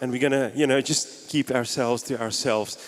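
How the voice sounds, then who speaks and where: A man speaks over noticeable background noise. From South Africa (Gauteng, East Rand). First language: Afrikaans. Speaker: pastor. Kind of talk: sermon. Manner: animated.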